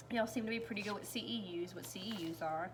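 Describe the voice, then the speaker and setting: A woman with an American accent talks at a very fast pace with ordinary pitch variation. Audible room echo and noticeable background noise come through. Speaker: high school health science teacher. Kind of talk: recorded class recap lecture. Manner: casual, filler-heavy.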